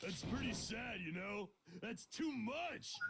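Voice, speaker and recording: A man uses a put-on character voice pitched high. He speaks at a fairly slow pace. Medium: game stream. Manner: loud, hearty.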